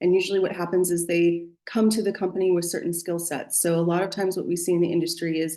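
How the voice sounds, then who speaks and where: This woman talks at a very fast pace with an American accent. Her voice is fairly low in pitch, with a dark, mellow tone. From United States. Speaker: business executive. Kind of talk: interview.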